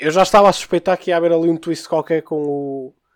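Here is a man with a plain, everyday voice and a fairly high pitch. His pitch variation is ordinary, and the recording is very clean with a silent background. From Porto, northern Portugal. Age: 20s. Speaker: podcast guest, manga fan. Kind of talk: casual chat.

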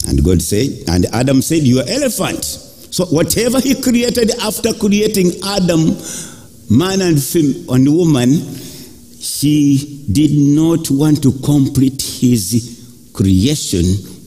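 With noticeable background noise behind it, the voice moves at a very slow pace, its loudness very even while its pitch swings very widely. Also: man. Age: 60s. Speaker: preacher. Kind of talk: sermon with congregation call-and-response. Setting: church. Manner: animated; emphatic, rhythmic, urging.

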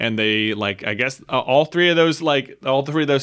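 An unremarkable speaking voice from a man with a fairly high pitch and an American accent, lively intonation at a moderate pace. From Roanoke, Virginia. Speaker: YouTube content creator. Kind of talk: casual interview.

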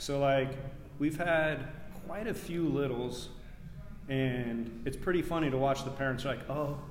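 Speaking with an American accent at a fairly slow pace, a man with fairly high pitch and ordinary pitch variation is heard through noticeable background noise and audible room echo. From Nebraska, US Midwest. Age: 40s. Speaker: youth running coach. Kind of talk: casual interview.

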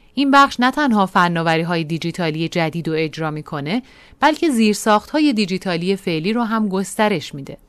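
At a fairly quick pace, a woman with a medium pitch swings very widely in pitch, recorded very cleanly with a silent background. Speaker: podcast narrator and editor. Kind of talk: scripted narration. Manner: formal.

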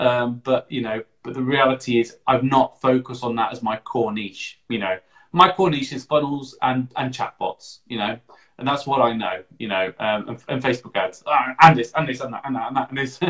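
A plain, everyday voice moves at a moderate pace, its pitch varying in an ordinary way. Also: man, medium pitch for a man. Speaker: podcast host and digital marketer. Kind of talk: casual interview. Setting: live video stream.

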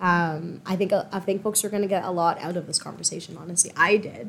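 In an ordinary speaking voice, a woman talks at a fairly quick pace with a fairly low pitch and fairly even intonation. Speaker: podcast host. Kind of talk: interview; scripted land acknowledgement. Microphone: poor audio early in episode.

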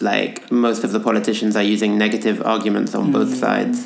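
A moderate pace with music in the background. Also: man. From England. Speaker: podcast guest. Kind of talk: casual chat.

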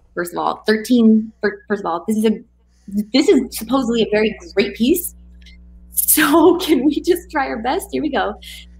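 A woman's excited tone, fairly high in pitch with vocal fry and very wide pitch swings, at a moderate pace. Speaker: co-host poetry reader. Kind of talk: casual live chat and poetry reading. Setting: live YouTube stream. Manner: casual, excited.

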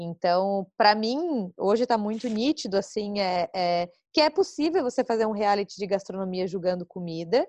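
A woman with an unremarkable speaking voice talks at a moderate pace with hardly any pauses, her medium pitch carried by lively intonation. The sound is dry and close with no echo, over a quiet background. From southern Brazil, Florianópolis. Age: 30s. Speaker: podcast host, journalist and former cooking show contestant. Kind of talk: casual chat.

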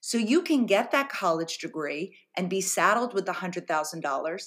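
A woman talks at a moderate pace with a medium pitch. It is a normal speaking voice. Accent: American. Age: 50s. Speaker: journalist and author. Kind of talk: interview.

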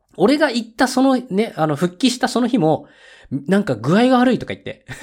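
At a fairly quick pace, a man speaks in an extremely high pitch with very wide pitch swings. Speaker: podcast host. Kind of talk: casual solo monologue. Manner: casual, chatty, low-energy.

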